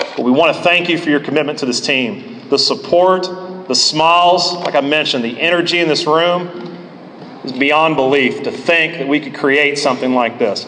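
Over noticeable background noise and audible room echo, a man talks at a moderate pace in a fairly high pitch with lively intonation. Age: 30s. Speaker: college baseball head coach. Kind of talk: speech at a banquet.

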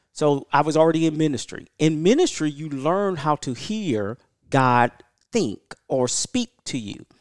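A man with an ordinary speaking voice talks at a fairly slow pace, his pitch fairly high and his intonation lively. The recording is very clean with a silent background, and the sound is dry and close with no echo. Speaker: martial arts school head and instructor. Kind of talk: casual podcast interview. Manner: laughs often.

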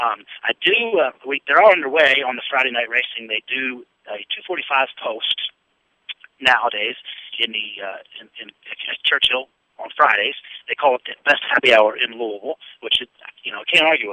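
A man's energetic voice at medium pitch, with an American accent, ordinary pitch variation and big shifts in volume. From Pennsylvania. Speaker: radio sports host. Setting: outdoors on location at golf club, live broadcast. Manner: energetic, rapid-fire, chatty, rambling with frequent filler words.

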